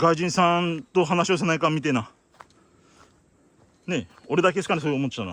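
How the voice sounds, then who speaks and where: A man with a fairly high pitch and vocal fry talks at a fairly quick pace with ordinary pitch variation and long, frequent pauses. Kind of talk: casual talk to camera. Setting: outdoors.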